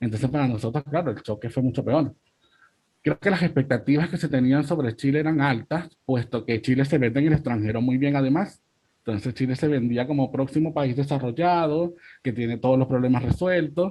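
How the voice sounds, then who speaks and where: Speaking fairly quickly with a Venezuelan accent, a man uses a medium pitch, a dark, mellow, somewhat breathy tone and ordinary pitch variation. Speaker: migrant rights activist. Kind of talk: panel discussion.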